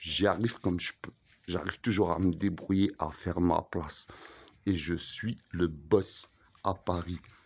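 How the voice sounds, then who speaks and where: Speaking at a fairly slow pace, a man with a very deep, low pitch keeps his intonation fairly even. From Algeria. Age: 40s. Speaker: vlogger; self-styled boss vlogger. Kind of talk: rant; casual vlog rant. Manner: halting. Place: street. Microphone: phone near.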